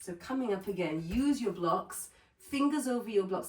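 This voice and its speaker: Speaking fairly slowly in a plain, everyday voice, a woman uses lively intonation. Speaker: yoga teacher. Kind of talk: workshop instruction.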